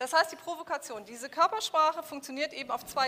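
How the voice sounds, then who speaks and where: A woman's raised, projected voice, high-pitched and animated in tone. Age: 40s. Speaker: business coach. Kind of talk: workshop lecture. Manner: interactive, animated.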